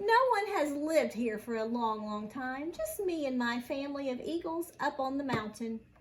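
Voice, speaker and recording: A squeaky, high-pitched put-on character voice. It moves along at a moderate pace. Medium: read story.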